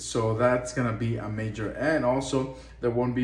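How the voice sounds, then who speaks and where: A man with a Spanish accent at medium pitch, amid noticeable background noise and audible room echo. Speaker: import business owner. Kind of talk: tutorial.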